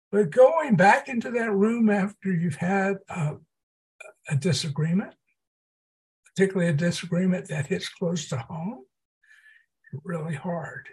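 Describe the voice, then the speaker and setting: In an American accent, a man with a high pitch speaks at a fairly slow pace with lively intonation and long, frequent pauses. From US South, southeast Texas (Port Arthur). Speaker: psychology professor. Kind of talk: podcast interview.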